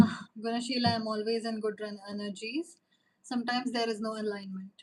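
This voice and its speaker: The woman's voice sits fairly high and sounds somewhat breathy. She talks at a fairly quick pace with monotone, flat intonation. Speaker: tarot reader. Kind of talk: live stream chat with viewers. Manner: hesitant, many fillers.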